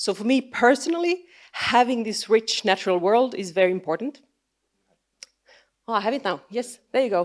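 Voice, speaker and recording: Speaking at a moderate pace with a fairly high pitch, a woman with a Finnish accent uses lively intonation and takes long, frequent pauses. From Finland. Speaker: biologist and science communicator. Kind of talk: conference talk. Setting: stage with audience. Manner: halting.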